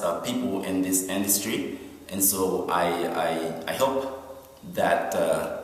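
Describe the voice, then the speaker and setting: A man's fairly low voice with a non-native accent, at a very slow pace with fairly even intonation, amid noticeable background noise and audible room echo. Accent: foreign accent, noticeable. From Haiti. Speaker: recycling organization founder, keynote speaker. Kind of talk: keynote speech. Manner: halting, many fillers; passionate.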